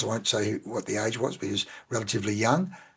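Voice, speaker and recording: Somewhat breathy and very fast, the voice carries an Australian accent. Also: man. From Australia (central Victoria). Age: 60s. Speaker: sales and business coach. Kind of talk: interview.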